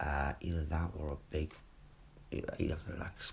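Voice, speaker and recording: Whispering with a British accent, a man speaks somewhat breathily at a fairly slow pace. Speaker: vlogger. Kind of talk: casual monologue. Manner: rambling, hesitant.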